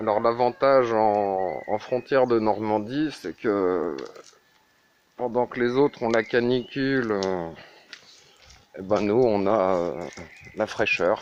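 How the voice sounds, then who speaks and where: This man's voice sits fairly low, with ordinary pitch variation. He talks very slowly, with long, frequent pauses. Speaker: vlogger. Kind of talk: casual monologue vlog. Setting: at home, walking the dog in the rain. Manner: hesitant, many fillers.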